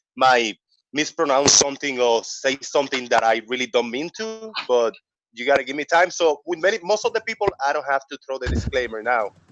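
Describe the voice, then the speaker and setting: Music plays in the background as a man with a fairly high pitch talks at a fairly quick pace. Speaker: online debate panelist. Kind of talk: casual discussion.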